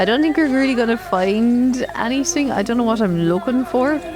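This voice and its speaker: There is music in the background as a woman speaks. Her pitch is fairly high and swings very widely. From Ireland. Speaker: gaming video creator. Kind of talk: let's play commentary. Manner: casual, chatty.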